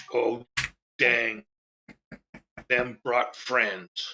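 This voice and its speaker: A man does a put-on character voice at a medium pitch. The voice is raspy. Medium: actual play. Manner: broken troll grammar.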